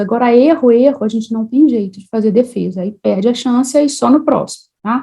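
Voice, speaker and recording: At a very fast pace, a woman speaks in a Minas Gerais accent. Her voice is high in pitch with a dark, mellow tone and ordinary pitch variation. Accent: Mineiro. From Minas Gerais, Brazil (Juiz de Fora). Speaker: civil engineer and teacher. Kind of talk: online lecture. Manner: casual, conversational.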